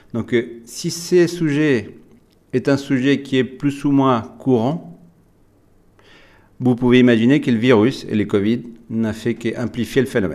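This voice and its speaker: Long, frequent pauses break up this man's speech. His pitch varies in an ordinary way. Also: medium pitch for a man, fairly slow pace. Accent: slight Latin American. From Latin America. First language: Spanish (speaking French). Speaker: software company executive. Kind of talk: webinar presentation. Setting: online webinar with screen share.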